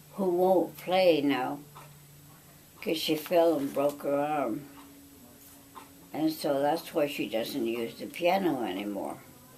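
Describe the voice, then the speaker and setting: Lively intonation at a very slow pace, with long, frequent pauses and audible room echo. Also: woman, very deep, low pitch for a woman. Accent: American. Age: 90s. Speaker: family elder recounting memories. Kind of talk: oral history interview. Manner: halting.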